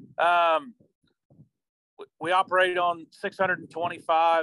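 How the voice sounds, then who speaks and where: A man speaks in a Missouri accent with a bright, sharp tone. The sound is dry and close, with no echo. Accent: Missouri rural Midland American. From southeast Missouri. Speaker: cattle rancher. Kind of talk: interview. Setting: remote call. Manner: halting, repeats words.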